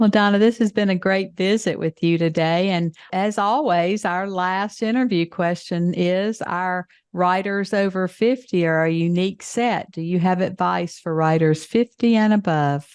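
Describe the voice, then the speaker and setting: A woman with a Southern US accent speaks at a moderate pace with hardly any pauses, her pitch medium with ordinary variation. The background is quiet. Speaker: podcast host. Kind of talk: interview.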